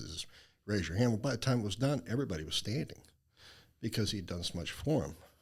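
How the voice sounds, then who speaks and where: Lively intonation in a somewhat breathy male voice. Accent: American. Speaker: charity founder. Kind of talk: interview.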